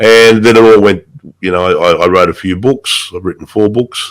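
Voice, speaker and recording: This speaker has an Australian accent. The intonation stays fairly even. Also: man. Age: 60s. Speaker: writer and motorcyclist. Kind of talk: interview. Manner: halting, repeats words.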